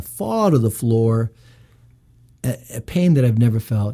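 Lively intonation runs through a man's medium-pitched voice. His tone is dark and mellow, and somewhat breathy. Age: 50s. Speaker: legal commissioner. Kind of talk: casual chat. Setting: studio.

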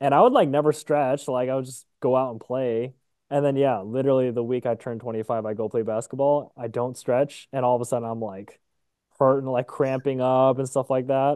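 This man has a plain, everyday voice. He speaks at a medium pitch with fairly even intonation. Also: fairly quick pace. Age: 20s. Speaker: podcast co-host. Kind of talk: casual chat. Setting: recording late evening, Eastern Time.

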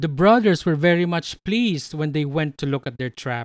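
Recorded very cleanly against a silent background with a dry, close sound and no echo, a man speaks with lively intonation. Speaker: podcast host. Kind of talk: reading aloud folklore. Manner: measured, storyteller-like narration; formal, even pacing.

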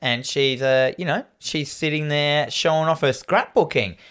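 In a very clean recording with a silent background, a man with an Australian accent speaks fairly slowly in a bright, sharp tone at a fairly high pitch. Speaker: podcast host. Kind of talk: casual chat, horror movie discussion.

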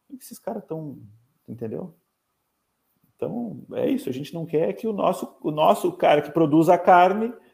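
A man's high voice at a moderate pace, with very wide pitch swings and big swings in loudness. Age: 40s. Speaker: livestock magazine co-founder, animal nutrition technician. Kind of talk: podcast interview. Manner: halting, repeats words.

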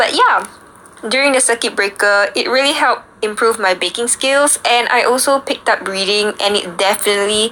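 A woman talks at a medium pitch for a woman, with noticeable noise behind her. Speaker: student radio host. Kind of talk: radio show chat.

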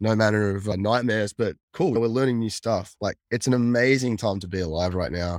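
A man with an Australian accent, fairly low-pitched, with ordinary pitch variation and a moderate pace, in a dry, close recording with no echo and a very clean, silent background. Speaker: cyber security consultant, former hacker. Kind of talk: casual interview chat.

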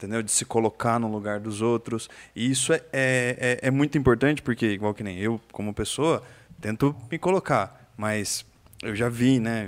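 His pitch rises and falls in an ordinary way. The man's voice sits at a medium pitch. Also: moderate pace. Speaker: podcast host. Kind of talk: casual chat. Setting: studio. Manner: animated.

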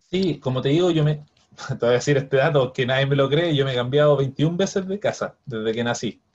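Somewhat breathy, a man speaks at a fairly high pitch and a fairly quick pace with ordinary pitch variation. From Chile, Viña del Mar. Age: 30s. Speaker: biochemist and property investor. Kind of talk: interview.

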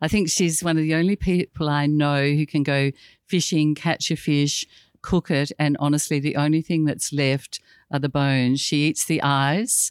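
In an Australian accent, the speaker goes at a moderate pace with fairly even intonation and very even loudness, on a very clean recording with a silent background. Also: woman, very deep, low pitch for a woman. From Tasmania, north west coast. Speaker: former state governor-level official. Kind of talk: interview conversation.

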